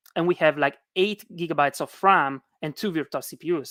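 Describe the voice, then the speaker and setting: In a very clean recording with a silent background and a dry, close sound with no echo, a woman talks at a moderate pace with lively intonation. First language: not English. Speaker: conference speaker. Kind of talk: technical talk. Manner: hesitant, many fillers.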